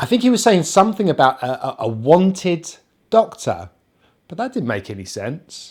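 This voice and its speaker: Speaking at a moderate pace with a British accent, the voice shows very wide pitch swings and big swings in loudness. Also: man, high pitch for a man. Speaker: English pronunciation teacher. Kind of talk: anecdote told to camera.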